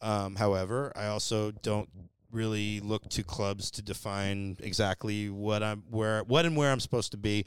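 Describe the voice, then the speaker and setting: A man with an American accent and a fairly low pitch speaks at a moderate pace with fairly even intonation. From San Francisco Bay Area, California. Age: 40s. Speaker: stand-up comedian and podcast host. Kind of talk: casual chat.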